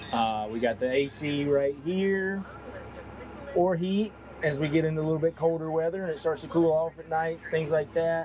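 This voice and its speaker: There is noticeable background noise as a man speaks at a moderate pace. His pitch is fairly high and varies in an ordinary way. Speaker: tractor sales manager. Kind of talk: product demo walkthrough. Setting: inside a tractor cab. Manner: loud; casual, conversational.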